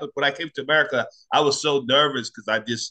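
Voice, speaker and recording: A man's fairly high, bright, sharp voice, dry and close with no echo over a quiet background. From Nigeria. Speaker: stand-up comedian. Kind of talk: casual interview chat.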